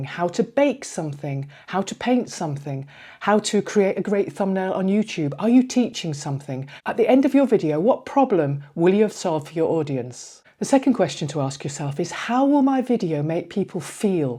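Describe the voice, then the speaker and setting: In a very clean recording with a silent background, a woman with a medium pitch and a dark, mellow tone talks with very wide pitch swings and hardly any pauses. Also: moderate pace. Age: 60s. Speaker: YouTube coach for older creators. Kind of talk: tutorial. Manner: direct, conversational address to viewer.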